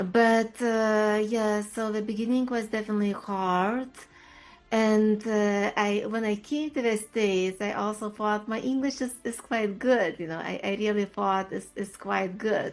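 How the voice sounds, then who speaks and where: Music in the background behind a woman's fairly high voice, fairly even in intonation and fairly slow in pace. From Lithuania. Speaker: HR leader and career coach. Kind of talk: interview. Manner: halting.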